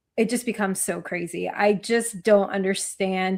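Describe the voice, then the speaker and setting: An American accent from a woman, her intonation fairly even. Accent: New Jersey accent, remarked on by a commenter. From New Jersey. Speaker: sports podcast co-host. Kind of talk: casual chat.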